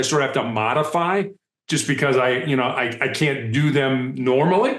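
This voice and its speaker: With an American accent, a man talks in a normal speaking voice at a moderate pace. His pitch is fairly high. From US Midwest, Chicago. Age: 60s. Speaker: speaker and author, former hostage negotiator. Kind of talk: interview conversation.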